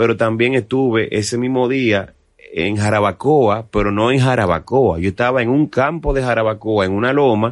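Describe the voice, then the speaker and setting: This man has a plain, everyday voice. He keeps a moderate pace with ordinary pitch variation. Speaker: merengue musician. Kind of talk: casual interview.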